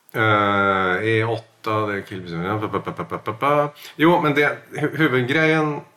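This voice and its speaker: With a bright, sharp tone, a man speaks at a fairly low pitch through very wide pitch swings. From Norway. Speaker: podcast co-host. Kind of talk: casual chat.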